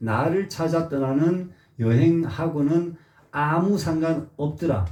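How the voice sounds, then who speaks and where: A man's fairly high-pitched, very slow speech with ordinary pitch variation and noticeable background noise. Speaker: Buddhist teacher. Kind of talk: dharma lecture. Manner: frequent filler sounds.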